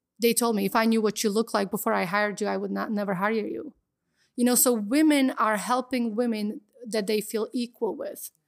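With a Slovak accent, a woman speaks at a fairly quick pace in a fairly high pitch, the sound dry and close with no echo. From Slovakia. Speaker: model, actress and entrepreneur. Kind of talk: interview.

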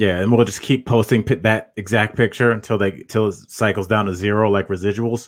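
An ordinary speaking voice from a man, fairly quick and with hardly any pauses, on a very clean recording with a silent background. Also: fairly low pitch for a man, fairly even intonation. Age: 40s. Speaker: comedian and podcast host. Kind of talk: casual chat.

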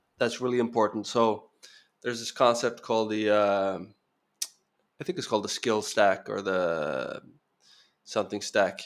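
Speaking with a Norwegian accent, a man with a fairly low pitch and ordinary pitch variation keeps a moderate pace broken by long, frequent pauses. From Norway. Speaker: founder of investment migration publication. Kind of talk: casual interview. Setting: video call.

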